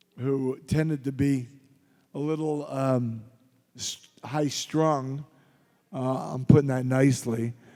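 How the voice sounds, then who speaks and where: A man with an American accent has a dark, mellow tone and fairly even intonation. He speaks at a very slow pace with long, frequent pauses. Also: medium pitch for a man. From Philadelphia, Pennsylvania. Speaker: actor and former pro wrestler. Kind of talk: convention panel Q&A. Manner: casual, anecdotal.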